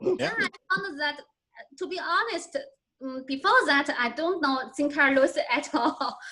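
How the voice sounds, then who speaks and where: A raised, projected voice with a Chinese accent moves at a fairly slow pace. The tone is bright and sharp, with lively intonation. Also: woman. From China. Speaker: literature scholar. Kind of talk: Q&A after presentation. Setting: video call. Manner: halting.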